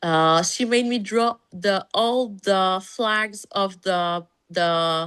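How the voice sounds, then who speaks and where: A woman speaks with a French accent, medium in pitch with ordinary pitch variation. The background is quiet. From Canada, French-speaking. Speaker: pediatrician. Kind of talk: interview conversation. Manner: halting, many fillers.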